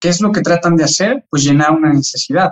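A man's voice sits at a high pitch with ordinary pitch variation. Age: 30s. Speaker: sociologist. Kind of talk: interview.

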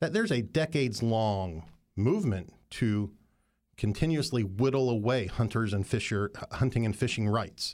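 Lively intonation and a fairly slow pace mark this American accent, heard on a very clean recording with a silent background. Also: man. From Appalachian western Maryland. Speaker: podcast host. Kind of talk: casual interview. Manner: energetic.

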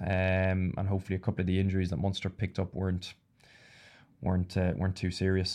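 Someone with an Irish accent talks at a very fast pace over a quiet background. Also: man. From Ireland. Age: 30s. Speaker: former professional rugby player. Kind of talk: casual chat. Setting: studio.

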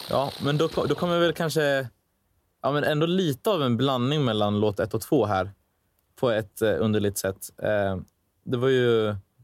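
A man speaks at a moderate pace and medium pitch with lively intonation, his loudness very even on a very clean recording with a silent background. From Dalarna, Sweden (Falun). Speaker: songwriter and musician, student. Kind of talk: casual chat.

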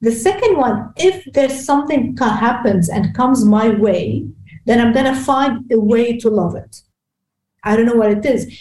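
A woman with a Lebanese accent speaks at a moderate pace in a fairly high, dark, mellow voice with ordinary pitch variation. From Lebanon; Beirut, Lebanon. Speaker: executive coach. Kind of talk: interview. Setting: video call.

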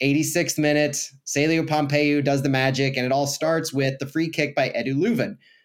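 In an unremarkable speaking voice with an American accent, a man speaks at a moderate pace with fairly high pitch and ordinary pitch variation on a very clean recording with a silent background. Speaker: podcast host. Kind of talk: sports podcast recap and analysis.

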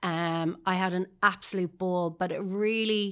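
The recording is very clean with a silent background. A woman speaks in a Dublin accent. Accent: Dublin Irish. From Dublin, Ireland (Sutton). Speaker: PR agency founder. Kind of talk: interview. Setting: studio.

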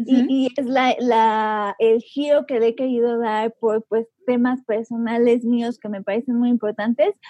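In a dry, close sound with no echo, a woman speaks fairly slowly in a monotone, flat intonation. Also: fairly high pitch for a woman. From Mexico, Puebla. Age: 20s. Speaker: time-management coach and online entrepreneur. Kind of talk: interview.

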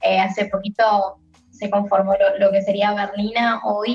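A woman at medium pitch speaks at a moderate pace in a monotone, flat intonation. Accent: San Luis Argentine. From Argentina, San Luis. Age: 20s. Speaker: singer. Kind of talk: casual interview.

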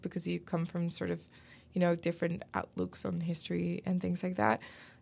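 The recording is very clean with a silent background. A woman with a Dutch accent talks at a fairly quick pace. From Netherlands. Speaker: PhD student. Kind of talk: casual interview.

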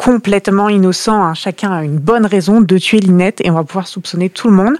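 The speaker is a woman with a medium pitch and an unremarkable speaking voice. She talks at a fairly quick pace. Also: dry, close sound with no echo. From Normandy, France (near Caen). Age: 20s. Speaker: book club panelist, lawyer. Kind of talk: casual chat.

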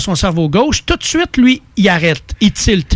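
Speaking at a moderate pace with a Quebec accent, a man uses a high pitch with very wide swings. The sound is dry and close with no echo. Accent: Québécois French. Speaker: studio guest. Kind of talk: casual chat. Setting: studio.

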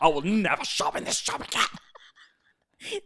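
At a fairly slow pace, someone performs a put-on character voice at middle pitch. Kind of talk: stereotypical entitled complaint. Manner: angry, indignant.

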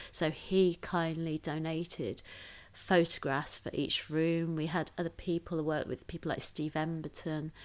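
A woman with a northern English accent, a very deep, low pitch and monotone, flat intonation at a moderate pace. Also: very clean recording, silent background. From northern England. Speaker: hotel creative director and club promoter. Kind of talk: interview.

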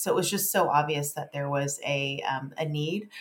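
The woman's voice has a somewhat breathy quality. She talks at a moderate speed. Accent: American. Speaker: venture investor and company CEO. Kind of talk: interview.

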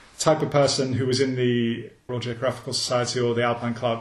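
Somewhat breathy, a man talks at a moderate pace. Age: 40s. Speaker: journalist and author. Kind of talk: interview.

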